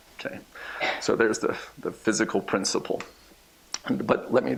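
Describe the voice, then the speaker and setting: A man's speech moves at a fairly quick pace while noticeable background noise carries on behind it. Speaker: research scientist. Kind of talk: lecture. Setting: seminar room with audience. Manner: fast.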